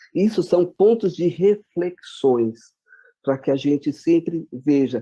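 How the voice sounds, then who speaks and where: This voice carries a dark, mellow tone at a fairly slow pace. Its pitch shifts with ordinary variation. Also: man. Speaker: education official. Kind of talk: presentation.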